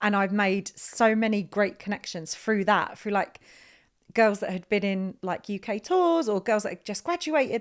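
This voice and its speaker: A woman in an Essex accent, medium-pitched and moderately paced, on a very clean recording with a silent background. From Essex, England. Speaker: theatre director. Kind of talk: podcast interview.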